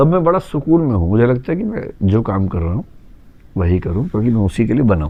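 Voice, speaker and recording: Speaking at medium pitch is a man. His pitch swings very widely. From Delhi, India. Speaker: educator, UPSC coaching teacher. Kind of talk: interview answer.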